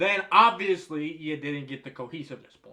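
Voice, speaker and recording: Using a raised, projected voice, a man with an American accent swings very widely in pitch. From United States. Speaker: movie reviewer. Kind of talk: explainer monologue. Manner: casual.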